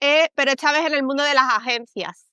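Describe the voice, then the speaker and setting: With a Castilian accent, a woman projects a raised, high-pitched voice with a bright, sharp tone and fairly even intonation, recorded dry and close with no echo against a quiet background. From Spain. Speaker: communications consultant. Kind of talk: interview. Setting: livestream.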